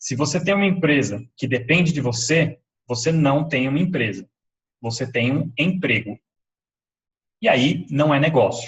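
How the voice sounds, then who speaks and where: Somewhat breathy and fairly high in pitch, a man speaks with ordinary pitch variation and long, frequent pauses. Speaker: webinar presenter, entrepreneur. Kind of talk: live webinar presentation.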